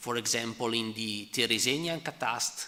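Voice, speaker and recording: Spoken at a fairly slow pace with an Italian accent, the voice has ordinary pitch variation and audible room echo. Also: man. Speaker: economic historian presenting a paper. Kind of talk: conference Q&A answer. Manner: halting, many fillers.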